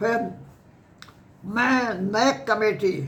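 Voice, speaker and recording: A man talks with ordinary pitch variation. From Uttar Pradesh, Kanpur district. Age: 80s+. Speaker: retired professor and former university vice-chancellor. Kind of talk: life story interview.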